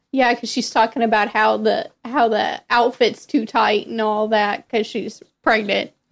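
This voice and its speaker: On a very clean recording with a silent background, a woman in a normal speaking voice talks fairly slowly with hardly any pauses, using a fairly high pitch and ordinary pitch variation. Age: 20s. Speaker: host's sister, movie fan. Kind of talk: casual chat.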